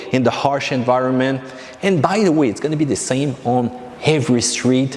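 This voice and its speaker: A man speaks with a French accent at a medium pitch. There is noticeable background noise. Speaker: car vlogger. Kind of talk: casual vlog.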